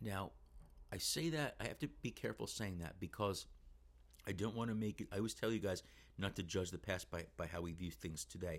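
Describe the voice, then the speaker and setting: A man's very deep, low voice with vocal fry, lively intonation, and a fairly quick pace. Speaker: middle school history teacher. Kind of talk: educational solo podcast. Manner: casual, unscripted.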